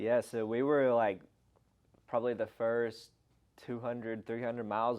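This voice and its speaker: A man speaks with a strong Southern US accent in a monotone, flat intonation. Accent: thick Southern US. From Arkansas, US South. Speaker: long-distance hiker. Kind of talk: casual interview chat.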